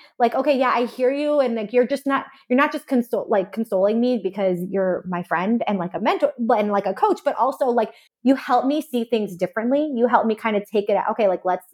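A woman talks at a fairly quick pace with lively intonation and a fairly high pitch. She has an ordinary speaking voice. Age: 30s. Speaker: dietitian and business owner. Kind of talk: casual chat.

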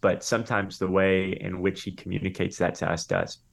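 On a very clean recording with a silent background, a man speaks at a fairly quick pace with an American accent. He has a normal speaking voice, fairly low in pitch. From Florida, US. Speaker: pastor and author. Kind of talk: interview.

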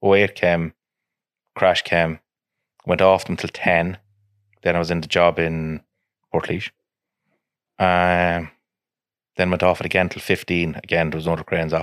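A man with an Irish Midlands accent and a very deep, low pitch, at a moderate pace in monotone, flat intonation with long, frequent pauses, in a very clean recording with a silent background. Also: dry, close sound with no echo. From Ireland, County Offaly. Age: 30s. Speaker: crane business owner. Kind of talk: casual chat.

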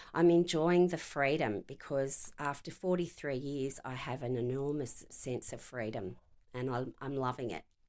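A woman with an Australian accent, very deep, low pitch and lively intonation, at a moderate pace on a very clean recording with a silent background. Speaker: retired police inspector. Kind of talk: interview.

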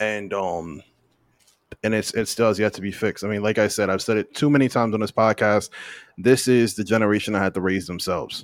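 In a very clean recording with a silent background, a man uses a normal speaking voice, fairly low in pitch, fairly quick in pace and fairly even in intonation. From US, immigrant family. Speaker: podcast host. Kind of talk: casual chat.

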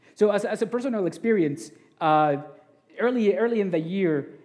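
A man talks with ordinary pitch variation. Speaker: preacher. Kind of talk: sermon. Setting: church. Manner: humble, sincere, somewhat halting with repeated words.

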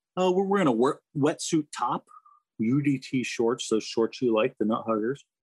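A man with an American accent and a normal speaking voice talks at a moderate pace and medium pitch, with lively intonation. His loudness stays very even, and the sound is dry and close with no echo. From Florida, US South. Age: 50s. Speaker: retired navy rescue swimmer and officer. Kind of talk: interview. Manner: casual, conversational.

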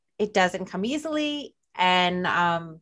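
A woman talks at a very slow pace in a New Jersey accent. Her medium-pitched voice carries lively intonation. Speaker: podcast host. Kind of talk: casual chat. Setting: video call.

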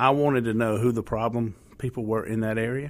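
A man with a Southern US accent speaks at a moderate pace and medium pitch with fairly even intonation, on a very clean recording with a silent background. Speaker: police officer. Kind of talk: radio interview. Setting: radio studio.

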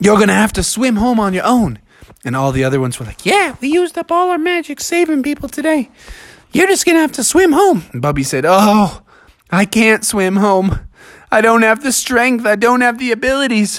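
With an extremely high pitch and very wide swings in it, a man talks at a fairly quick pace in an animated, playful tone. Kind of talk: fairy-tale narration. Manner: animated storyteller; playful, voicing characters.

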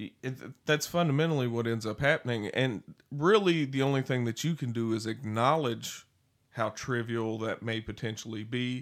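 A man with a Southern US accent speaks at a moderate pace in a medium pitch, his pitch rising and falling in an ordinary way. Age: 30s. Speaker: podcast co-host. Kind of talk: casual chat.

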